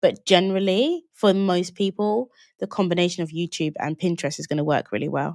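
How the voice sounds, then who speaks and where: Someone with a London accent talks at a fairly quick pace with ordinary pitch variation, the sound dry and close with no echo. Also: woman, fairly low pitch for a woman. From London, England (Jamaican British family). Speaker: online business coach. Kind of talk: live webinar Q&A. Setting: livestream. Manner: casual, conversational.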